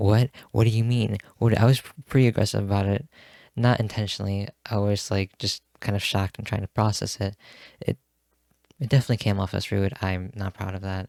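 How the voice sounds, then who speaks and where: Soft-spoken and fairly low-pitched, a man talks at a fairly quick pace with long, frequent pauses and fairly even intonation, in a dry, close sound with no echo and a very clean recording with a silent background. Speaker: vlogger. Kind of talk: personal reflection monologue. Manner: halting.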